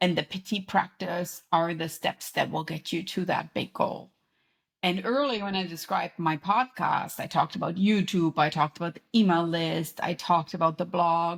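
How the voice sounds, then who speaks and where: A woman talks at a moderate pace with a German accent. The recording is very clean, with a silent background. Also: fairly low pitch for a woman, ordinary pitch variation. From Germany. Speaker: podcast host and author, professor. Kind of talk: interview conversation.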